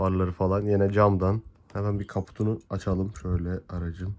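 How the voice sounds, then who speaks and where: His voice is very deep and low for a man. He talks at a moderate pace in a monotone, flat intonation. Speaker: diecast model car YouTuber. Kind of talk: unboxing review.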